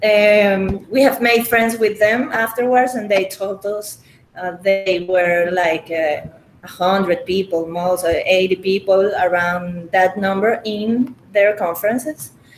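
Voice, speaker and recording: A woman with a Spanish accent speaks at medium pitch with ordinary pitch variation and a fairly slow pace, against noticeable background noise. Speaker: crypto community organizer. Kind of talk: interview. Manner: halting, many fillers.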